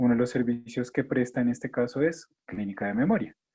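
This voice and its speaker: A man's dark, mellow, somewhat breathy voice at a moderate pace with ordinary pitch variation. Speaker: geriatrician. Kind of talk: lecture.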